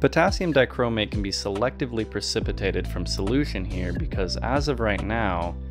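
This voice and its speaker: With music in the background, the speaker moves at a fairly quick pace with hardly any pauses and very wide pitch swings. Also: man, very deep, low pitch for a man. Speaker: amateur chemist. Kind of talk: chemistry video voice-over narration.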